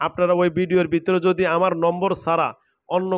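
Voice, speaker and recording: A man with a high pitch speaks in a monotone, flat way, with a dry sound with no echo and a quiet background. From Bangladesh. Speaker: Islamic faith healer. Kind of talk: exorcism session; address to viewers. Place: home room. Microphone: lapel.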